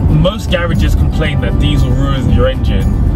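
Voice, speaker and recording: Over loud music in the background, a man speaks at a moderate pace, the sound dry with no echo. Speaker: channel co-host. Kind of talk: casual vlog chat. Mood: animated, mildly indignant. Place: car. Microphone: phone near.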